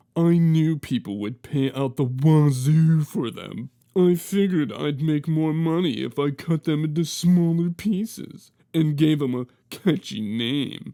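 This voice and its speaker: Using a put-on character voice, a man speaks at a fairly slow pace with a fairly high pitch and ordinary pitch variation. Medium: read story. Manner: stammering on first sounds.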